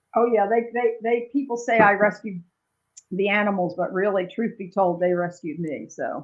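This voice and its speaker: A woman speaks with a plain, everyday voice. She keeps a moderate pace and medium pitch, with ordinary pitch variation. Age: 60s. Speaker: animal sanctuary founder. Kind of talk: casual interview.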